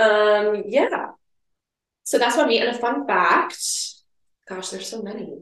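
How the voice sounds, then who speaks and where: Speaking with an American accent at a fairly high pitch, a woman talks at a fairly slow pace with long, frequent pauses, ordinary pitch variation, big swings in loudness and audible room echo. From Minnesota. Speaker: pharmacy student. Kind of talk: casual chat.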